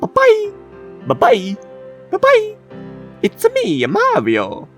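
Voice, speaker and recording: Faint music plays in the background as a man performs a put-on character voice at a very slow pace. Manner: cheerful, high-spirited.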